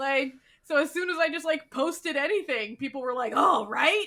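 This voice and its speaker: With a raised, projected voice, a woman speaks at a fairly quick pace in a bright, sharp tone. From England, Manchester. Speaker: podcast guest, fan. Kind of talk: casual chat.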